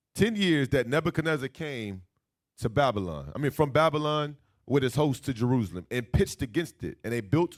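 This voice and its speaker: A man's plain, everyday voice, fairly high in pitch, with lively intonation at a moderate pace in a very clean recording with a silent background. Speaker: Bible teacher. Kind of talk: bible class lecture.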